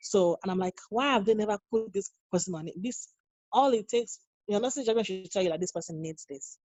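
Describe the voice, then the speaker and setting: The speech comes at a very fast pace in a Nigerian accent. Pitch varies in an ordinary way. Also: woman. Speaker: nurse. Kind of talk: interview. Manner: halting, many repeated words.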